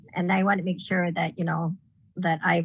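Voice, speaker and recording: A woman's fairly low, somewhat breathy voice, monotone and flat, at a fairly quick pace against a quiet background. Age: 60s. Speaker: blind parent, panel moderator. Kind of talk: panel discussion. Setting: video call from home.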